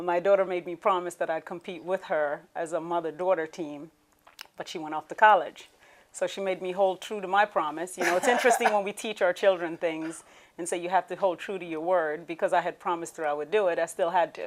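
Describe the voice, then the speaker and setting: Talking at a very fast pace, a woman uses a fairly low pitch and fairly even intonation. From Jamaica, Clarendon. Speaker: beauty queen. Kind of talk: interview.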